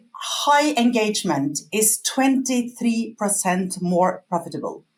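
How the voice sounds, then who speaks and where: A woman speaks at a very slow pace in a fairly high, somewhat breathy voice. Her pitch swings very widely. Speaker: customer feedback company employee. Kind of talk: webinar presentation. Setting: online webinar.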